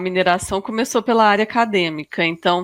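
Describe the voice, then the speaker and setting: A woman speaks with a Minas Gerais accent. The recording is very clean, with a silent background. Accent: mineiro (Minas Gerais). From Minas Gerais, Brazil (Arcos). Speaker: sustainability coordinator in mining. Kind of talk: podcast interview. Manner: hesitant, many fillers.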